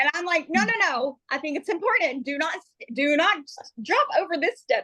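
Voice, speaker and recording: The tone is bright and sharp, and the voice is raised and projected. The sound is dry and close, with no echo. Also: woman. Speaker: social media trainer. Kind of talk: training session on a video call. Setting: video call. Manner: fast.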